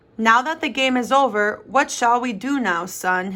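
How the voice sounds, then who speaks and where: A woman puts on a character voice pitched high. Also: moderate pace. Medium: read story. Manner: warm, encouraging.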